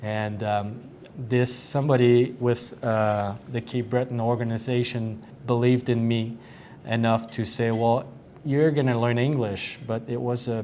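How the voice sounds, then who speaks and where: Delivered at a fairly slow pace in a French accent, the speech has a monotone, flat intonation. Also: man, medium pitch for a man. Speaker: hockey head coach. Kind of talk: interview. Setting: dressing room. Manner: halting, many fillers.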